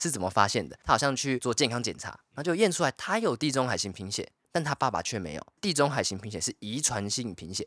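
A man with a Taiwanese accent, a medium pitch and a bright, sharp tone, with very wide pitch swings and a very fast pace, on a very clean recording with a silent background and a dry, close sound with no echo. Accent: Taiwanese Mandarin. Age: 20s. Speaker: podcast co-host. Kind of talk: casual chat.

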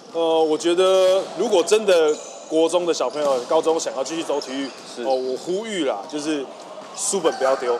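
A man with a fairly high voice talks at a moderate pace. His pitch varies in an ordinary way, and noticeable background noise is present. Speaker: volleyball coach and school PE head. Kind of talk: interview. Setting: school gymnasium.

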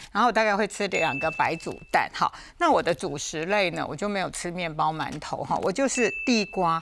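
Amid noticeable background noise, a woman at medium pitch speaks at a moderate pace with lively intonation and hardly any pauses. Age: 60s. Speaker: food safety expert. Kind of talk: casual health talk show chat.

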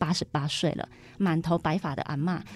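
At a fairly quick pace, a woman talks in an ordinary speaking voice with a fairly low pitch. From southern Taiwan, Kaohsiung. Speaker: small business owner. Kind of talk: radio interview.

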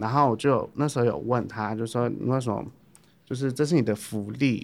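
A man speaks at medium pitch and a moderate pace, with ordinary pitch variation. The recording is very clean, with a silent background. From Taipei, Taiwan. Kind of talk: casual chat.

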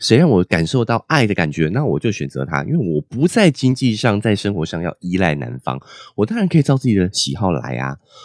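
A man with a fairly low pitch swings very widely between high and low. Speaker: podcast host. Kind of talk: solo monologue book review. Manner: chatty with many filler particles.

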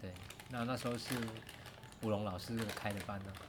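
A man's fairly low voice with a Taiwanese accent, monotone and flat at a fairly quick pace, amid noticeable background noise and audible room echo. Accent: Taiwanese Mandarin. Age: 40s. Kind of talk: casual interview. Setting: outdoors by rice fields.

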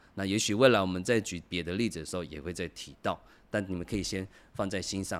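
A man talks at a very fast pace. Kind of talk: language tutorial. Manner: conversational, many filler particles.

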